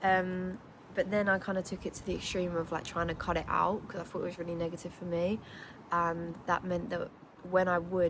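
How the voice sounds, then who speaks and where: A woman with a British accent talks at a fairly quick pace in a fairly low pitch, with fairly even intonation. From England. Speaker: lifestyle vlogger. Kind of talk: casual vlog talk. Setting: outdoors. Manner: chatty, filler-heavy.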